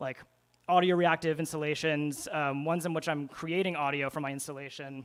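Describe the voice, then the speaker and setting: This man has a plain, everyday voice, pitched fairly high with ordinary pitch variation. He moves at a fairly quick pace. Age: 30s. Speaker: music producer and installation artist. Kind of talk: conference talk. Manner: casual, filler-heavy.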